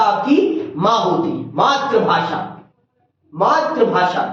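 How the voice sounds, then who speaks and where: A man with an extremely high pitch makes very wide pitch swings amid audible room echo. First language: Awadhi (speaking Hindi). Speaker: teacher. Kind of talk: lecture.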